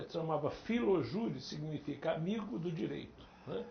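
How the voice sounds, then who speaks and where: A man's voice moves through very wide pitch swings, with audible room echo in the recording. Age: 70s. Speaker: Portuguese teacher. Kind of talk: interview.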